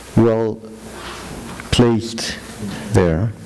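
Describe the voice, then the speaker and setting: A man at medium pitch talks at a very slow pace with fairly even intonation. Audible room echo and noticeable background noise surround him. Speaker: lecturer. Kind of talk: lecture. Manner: halting, many fillers.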